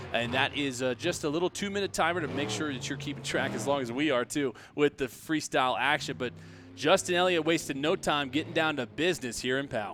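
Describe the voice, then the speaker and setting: In a normal speaking voice, a man with fairly high pitch talks at a fairly quick pace with ordinary pitch variation. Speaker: monster truck show commentator. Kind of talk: play-by-play sports commentary.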